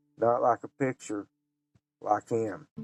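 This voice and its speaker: Music plays in the background as a man speaks very slowly in an Appalachian accent. His medium pitch carries lively intonation. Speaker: memoir author and storyteller. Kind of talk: memoir reading.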